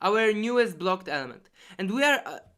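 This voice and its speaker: With a non-native accent, a woman speaks in a bright, sharp tone. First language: not English. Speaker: competitive programmer explaining solutions. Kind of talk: tutorial. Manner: halting.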